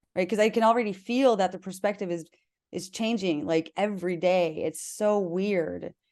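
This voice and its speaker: A woman speaks in a normal speaking voice at medium pitch and moderate pace, with ordinary pitch variation. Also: quiet background. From South Dakota, US Midwest. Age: 30s. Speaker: human design coach. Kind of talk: casual interview chat.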